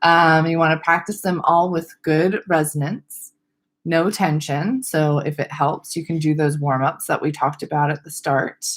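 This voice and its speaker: At a medium tempo, a female speaker talks in a very deep, low register. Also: ordinary pitch variation. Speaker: speech-language pathologist. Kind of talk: webinar lecture. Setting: webcam. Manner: loud.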